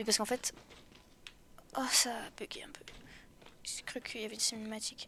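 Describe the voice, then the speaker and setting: A woman's fairly high voice, flat and monotone, with long, frequent pauses, big swings in loudness and noticeable background noise. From France. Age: 20s. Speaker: video game streamer. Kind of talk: live gameplay commentary. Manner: casual, chatty.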